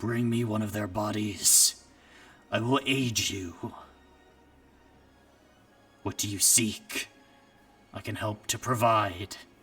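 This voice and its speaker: A man's rumbling, put-on character voice at medium pitch, fairly slow and fairly even, with long, frequent pauses and faint music in the background. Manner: commanding, otherworldly.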